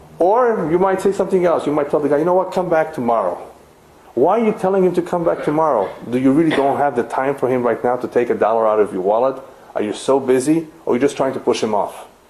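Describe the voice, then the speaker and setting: Over noticeable background noise and audible room echo, someone with a non-native accent talks at a very fast pace with very wide pitch swings. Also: man, fairly high pitch for a man. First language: not English. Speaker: rabbi teaching a lecture series. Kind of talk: lecture.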